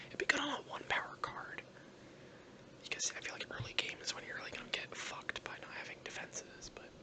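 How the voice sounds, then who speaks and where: Whispering at a very fast pace, the speaker is heard over noticeable background noise. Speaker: gaming YouTuber. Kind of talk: ASMR gameplay commentary. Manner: whispered; soft-spoken.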